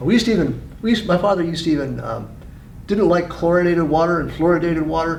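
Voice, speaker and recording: A high-pitched man's voice at a very fast pace, fairly even in intonation, with audible room echo. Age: 60s. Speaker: president of a health association. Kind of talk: interview. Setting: conference. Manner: halting.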